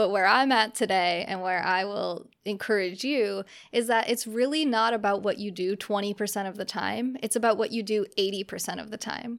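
In a very clean recording with a silent background, a woman with an American accent and an ordinary speaking voice talks at a moderate pace and medium pitch with fairly even intonation. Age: 30s. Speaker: podcast host. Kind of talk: solo monologue podcast.

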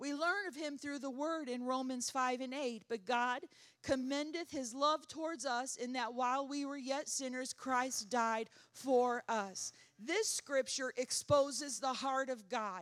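At a fairly slow pace, a woman speaks in an animated tone with a high pitch and ordinary pitch variation. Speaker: worship pastor. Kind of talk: sermon. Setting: church.

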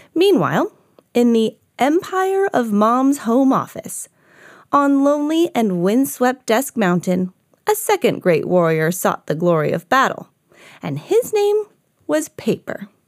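A woman speaks in a playful tone at a fairly slow pace, her high pitch swinging very widely. The sound is dry and close, with no echo. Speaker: storybook reader. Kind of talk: children's storybook narration. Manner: animated; playful character voices.

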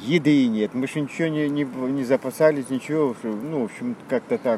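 Noticeable background noise runs under a man speaking at a medium pitch. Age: 70s. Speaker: retired actor, refugee. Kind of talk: interview storytelling. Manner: halting.

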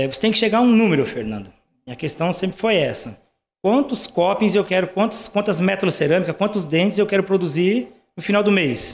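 A man with a high pitch talks at a fairly quick pace, broken by long, frequent pauses. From Brazil, rural Paraná interior. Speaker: dental lab owner. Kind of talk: casual interview chat.

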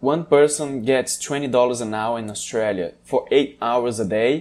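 Speaking fairly slowly, a man with a Brazilian accent uses a medium pitch. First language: Portuguese. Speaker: podcast host. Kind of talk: casual chat.

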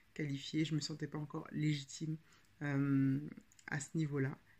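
A woman speaks with a very deep, low pitch, somewhat breathy. Her intonation stays monotone and flat. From France, Paris region. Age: 30s. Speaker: podcast host and writing coach. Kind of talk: casual podcast monologue. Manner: hesitant, frequent filler 'euh'.

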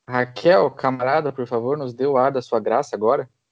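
A man's medium pitch and fairly even intonation mark an ordinary speaking voice. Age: 20s. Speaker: podcast host and historian. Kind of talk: casual political discussion.

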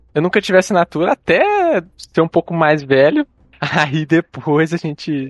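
A man's normal speaking voice, fairly high in pitch, with ordinary pitch variation, a moderate pace and a dry, close sound with no echo. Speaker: podcast host. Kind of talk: casual chat.

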